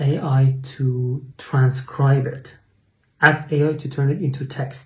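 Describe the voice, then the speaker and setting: A man with a Persian accent, somewhat breathy, fairly high in pitch, in a monotone, flat delivery. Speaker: English teacher. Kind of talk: tutorial. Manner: hesitant, with fillers.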